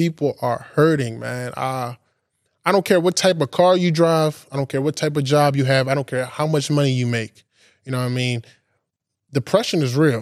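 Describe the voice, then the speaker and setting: A man's normal speaking voice, fairly high in pitch, at a moderate pace with ordinary pitch variation and a dry, close sound with no echo. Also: very clean recording, silent background. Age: 20s. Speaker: podcast host giving a bible study. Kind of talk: sermon-style bible study. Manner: casual, conversational.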